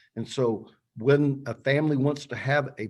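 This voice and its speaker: Against a quiet background, a man with an ordinary speaking voice talks at a fairly high pitch with ordinary pitch variation. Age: 60s. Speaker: funeral and cemetery planner. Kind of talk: webinar presentation. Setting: online webinar.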